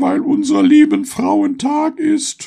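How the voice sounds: A loud, put-on character voice from a man, extremely high-pitched with vocal fry, a dark, mellow tone, very wide pitch swings and a slow pace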